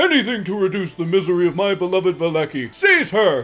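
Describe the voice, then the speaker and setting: A put-on character voice races along at a very fast pace with lively intonation. Light background noise is present. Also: man, high pitch for a man. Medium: actual play. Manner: pompous, declamatory.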